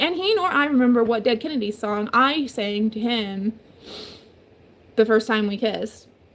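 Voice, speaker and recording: A woman's fairly high voice with lively intonation at a moderate pace, over noticeable background noise. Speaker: domestic violence survivor. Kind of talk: casual talk to camera.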